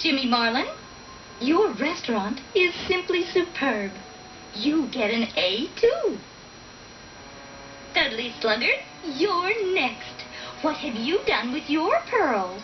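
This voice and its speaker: A female-sounding, cartoonish character voice speaks at a high pitch and a fairly slow pace, with long, frequent pauses. Background noise is clearly audible. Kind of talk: schoolteacher.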